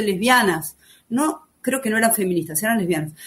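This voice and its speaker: A woman is speaking. Her pitch swings very widely. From Argentina, Buenos Aires. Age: 50s. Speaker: writer and former activist. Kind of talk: podcast testimony.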